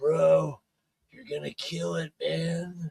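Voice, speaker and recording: Raspy and at a middle pitch, this is a put-on character voice. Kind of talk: casual, bro-like. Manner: casual, encouraging.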